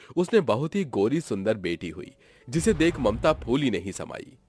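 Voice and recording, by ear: A man speaks with big pitch swings and a slightly mellow tone.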